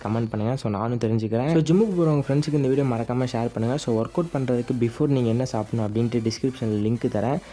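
The voice has a dark, mellow tone and ordinary pitch variation, running at a very fast pace with few pauses. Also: man.

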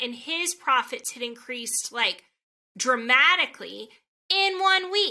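Against a quiet background, a woman projects her high, bright, sharp voice at a moderate pace with lively intonation. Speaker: podcast host. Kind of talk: interview. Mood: warm, upbeat. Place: home room.

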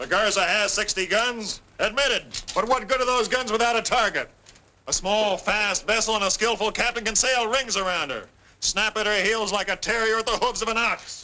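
A man uses a raised, projected voice with a bright, sharp tone, fairly even intonation and a moderate pace. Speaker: actor playing a French pirate captain. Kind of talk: dramatic film dialogue. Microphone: old recording.

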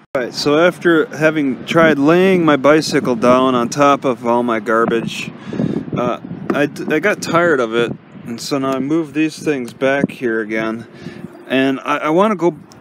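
Over noticeable background noise, a man talks at a moderate pace with ordinary pitch variation, the sound dry with no echo. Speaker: vlogger living in vehicle. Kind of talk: casual vlog chat. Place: car. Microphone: phone near.

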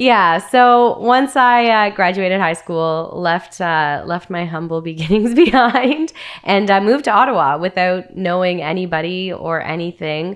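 Speaking at a fairly slow pace with hardly any pauses, a woman with a Canadian accent uses lively intonation against a quiet background. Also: medium pitch for a woman. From Northern Ontario, Canada; Ontario, Canada. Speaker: Muay Thai fighter and radio host; radio host. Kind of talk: casual interview chat. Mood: animated, storytelling. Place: studio. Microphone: studio mic.

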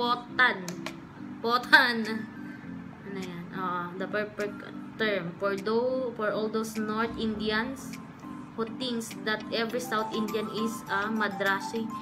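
Clear music plays in the background as a woman speaks at a fairly slow pace with long, frequent pauses. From Philippines. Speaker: vlogger. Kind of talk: casual talk to camera. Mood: playful, amused. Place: home room. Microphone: studio mic.

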